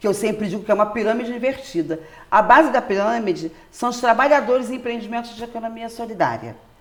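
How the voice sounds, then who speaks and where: A woman talks at a very fast pace in an animated tone, her pitch fairly high with ordinary variation. Her loudness swings widely, and there is noticeable background noise. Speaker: popular educator, solidarity economy worker. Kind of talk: interview.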